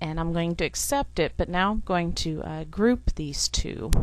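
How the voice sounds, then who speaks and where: Against a quiet background, a woman talks at a moderate speed. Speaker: software tutorial teacher. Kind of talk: tutorial. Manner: frequent fillers (um, uh).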